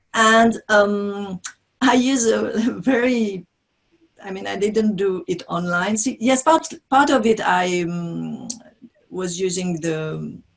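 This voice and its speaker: Someone with a French accent speaks at a very slow pace. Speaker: business trainer and author. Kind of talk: interview. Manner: halting.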